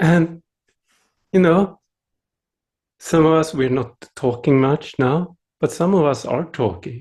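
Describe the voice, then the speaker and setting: Very slow and marked by long, frequent pauses, a man's fairly high voice carries a Swedish accent and ordinary pitch variation. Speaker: meditation teacher. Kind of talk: dharma talk. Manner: gentle.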